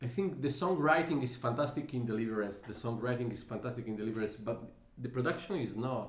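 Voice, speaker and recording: A man's medium-pitched voice with an Italian accent, ordinary pitch variation, a fairly quick pace and audible room echo. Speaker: musician, singer and bassist. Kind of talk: music reaction commentary. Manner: hesitant, with fillers.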